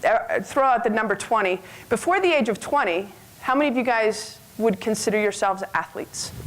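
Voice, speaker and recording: Over noticeable background noise, a woman with a fairly high pitch and ordinary pitch variation speaks at a very fast pace. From western Canada. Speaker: health club owner and former basketball player. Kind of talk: conference talk. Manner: loud.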